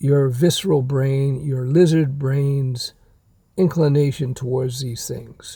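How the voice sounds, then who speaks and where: A man speaks at a moderate pace with a dark, mellow tone, somewhat breathy. His pitch is fairly high, with fairly even intonation. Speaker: self-help vlogger. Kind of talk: casual monologue. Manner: halting, many fillers.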